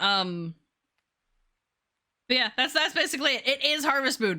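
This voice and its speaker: On a very clean recording with a silent background, a woman speaks in a raised, projected voice with lively intonation and a bright, sharp tone. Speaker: video game streamer. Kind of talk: casual chat.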